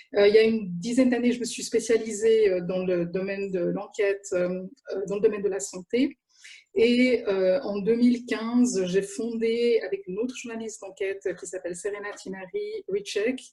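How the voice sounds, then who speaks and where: A woman's somewhat breathy, fairly high voice at a moderate pace, with fairly even intonation. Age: 50s. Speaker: journalist. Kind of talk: panel talk. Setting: video call.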